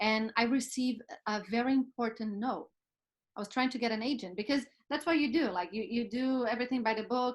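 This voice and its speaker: At a fairly quick pace, a woman with a non-native accent talks at a fairly high pitch. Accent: foreign. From Brazil. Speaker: actress and producer. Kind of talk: casual chat. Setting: video call.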